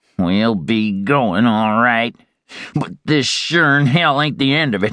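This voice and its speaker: A man talks in an ordinary speaking voice at a fairly slow pace with lively intonation. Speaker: audiobook narrator. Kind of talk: dramatic audiobook narration of a western, reading aloud with character voices.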